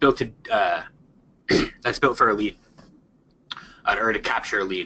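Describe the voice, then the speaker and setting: With long, frequent pauses, a man speaks in big swings of loudness. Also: moderate pace. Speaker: marketing consultant. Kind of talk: webinar presentation. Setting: online webinar with screen share. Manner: halting, many fillers and repeats.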